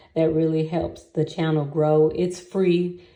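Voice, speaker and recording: In audible room echo, a woman talks at a moderate pace. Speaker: YouTuber. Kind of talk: casual vlog monologue. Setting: sitting in a bathtub.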